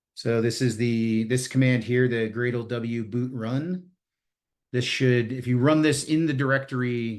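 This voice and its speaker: Against a quiet background, a man with an unremarkable speaking voice talks at a medium pitch and a fairly slow pace with fairly even intonation. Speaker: security workshop presenter. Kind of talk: live technical tutorial.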